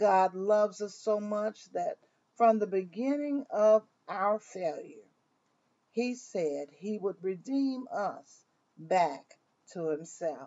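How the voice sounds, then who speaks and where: A woman speaks very slowly with an American accent. Her pitch swings very widely. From US South, Mississippi. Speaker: minister. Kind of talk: devotional.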